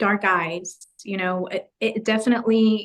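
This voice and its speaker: The woman's intonation stays monotone and flat throughout. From US, raised there from age three (born in Guatemala). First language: Spanish. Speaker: photographer. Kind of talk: interview testimony.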